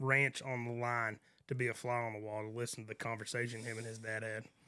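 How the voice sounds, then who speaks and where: A man with a West Texas accent. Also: big swings in loudness. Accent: West Texas drawl. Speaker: rancher. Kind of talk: casual chat.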